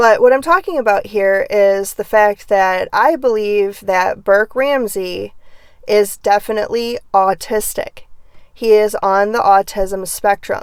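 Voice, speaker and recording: The pace here is fairly slow. Pitch varies in an ordinary way. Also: woman, fairly high pitch for a woman. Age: 40s. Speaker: true crime and psychic content creator. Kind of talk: casual monologue.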